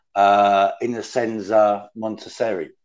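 A man speaks in a British accent at a fairly low pitch. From UK. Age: 50s. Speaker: former prisoner, true crime writer. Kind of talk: casual chat. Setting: video call.

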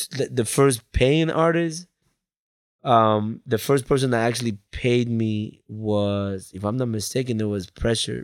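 A man with an American accent has a plain, everyday voice and ordinary pitch variation. The recording is very clean, with a silent background. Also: medium pitch for a man. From Colombia, then Bridgeport, Connecticut from age eleven. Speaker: music video director. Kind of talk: casual interview chat. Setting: studio.

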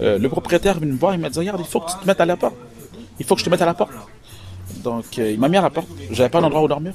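Very fast yet broken by long, frequent pauses, a man's high-pitched voice carries lively intonation over noticeable background noise. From Quebec, Montreal. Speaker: entrepreneur and author. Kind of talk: interview. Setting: hotel lobby.

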